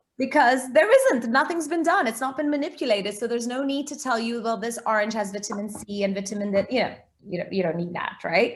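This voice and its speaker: The voice belongs to a woman. An American accent shapes her speech. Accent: sounds American. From Portugal, international schooling. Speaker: food blogger, recipe website founder. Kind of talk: interview.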